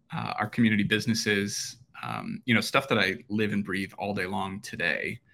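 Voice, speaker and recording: At a moderate pace, a man with an Upper Midwest accent speaks at a fairly low pitch with vocal fry, a bright, sharp tone and fairly even intonation on a very clean recording with a silent background. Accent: Upper Midwest American. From central Minnesota (rural). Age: 30s. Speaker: real estate developer. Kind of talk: interview.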